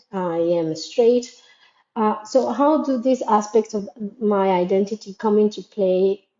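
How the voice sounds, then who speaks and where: A woman's fairly slow voice with a Spanish accent, mid-range in pitch, with ordinary pitch variation. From Latin America. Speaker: educator in international schools. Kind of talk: reflective monologue. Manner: halting, with fillers and repetitions.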